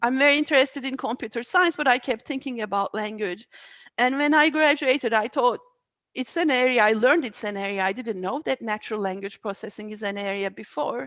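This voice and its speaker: With a Turkish accent, a woman talks at a high pitch and a fairly quick pace, her intonation lively. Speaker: AI researcher. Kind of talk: interview. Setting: video call. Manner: halting, many fillers.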